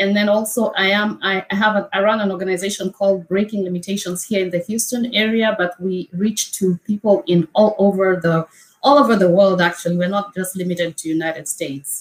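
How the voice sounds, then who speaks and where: A woman with a Kenyan accent at a fairly quick pace, medium pitch, fairly even intonation and hardly any pauses. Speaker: wellness coach. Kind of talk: interview testimony.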